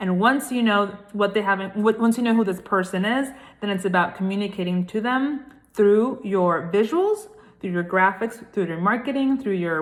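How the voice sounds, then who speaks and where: A woman in a Puerto Rican accent, medium in pitch, animated in tone, at a moderate pace with ordinary pitch variation. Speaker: brand consultant. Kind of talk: casual vlog talk to camera.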